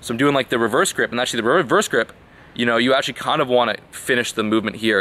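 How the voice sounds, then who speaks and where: Here a man talks at a very fast pace. His pitch variation is ordinary. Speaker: fitness vlogger. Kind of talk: casual vlog chat. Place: garden. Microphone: phone near.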